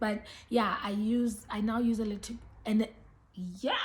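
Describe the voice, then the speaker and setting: A woman talks at a fairly high pitch. Background noise is noticeable. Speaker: beauty and lifestyle vlogger. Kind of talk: casual vlog talk to camera. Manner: hesitant, many ums.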